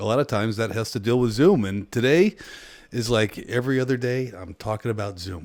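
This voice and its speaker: A man speaks at a moderate pace in a medium pitch. The recording is very clean, with a silent background. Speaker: tech YouTuber, software architect. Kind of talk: casual tech video. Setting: home office. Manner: loud.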